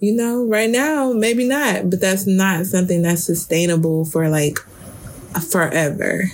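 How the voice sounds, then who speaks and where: A woman speaks at a medium pitch with lively intonation. Her pace is fairly slow and her loudness very even. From Detroit, US Midwest. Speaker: podcast co-host. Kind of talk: casual chat.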